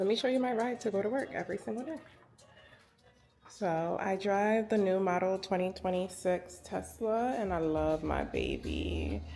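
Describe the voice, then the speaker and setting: A woman with an American accent at a moderate pace, music in the background. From New York City, Queens. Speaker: educator and vlogger. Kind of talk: casual vlog narration. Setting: at home and in car, early morning. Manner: whispering.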